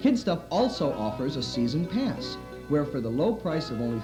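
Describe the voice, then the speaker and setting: Music plays in the background as a man speaks at a moderate pace. His fairly high pitch makes very wide swings. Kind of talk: promotional narration.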